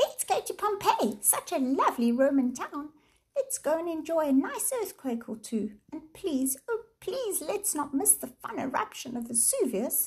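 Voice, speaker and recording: Squeaky and high-pitched, a woman's put-on character voice moves at a moderate pace with very wide pitch swings. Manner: mocking; furious.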